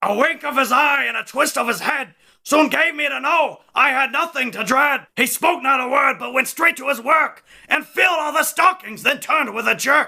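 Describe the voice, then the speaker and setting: In a cartoonish character voice, a man speaks at a moderate pace with an extremely high pitch. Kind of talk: cartoon character impression. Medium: solo performance.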